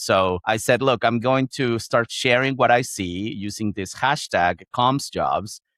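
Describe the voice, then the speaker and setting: With a Chilean accent, a man speaks at a moderate pace with ordinary pitch variation, in a dry, close sound with no echo over a quiet background. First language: Spanish. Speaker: founder of a job-sharing community for communicators. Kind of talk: podcast interview. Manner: hesitant, with many fillers and repetitions.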